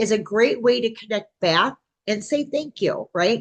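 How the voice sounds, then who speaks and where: The speech comes at a fairly slow pace, somewhat breathy, with lively intonation. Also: woman. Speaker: pagan practice teacher. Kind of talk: lecture. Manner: casual, filler-heavy.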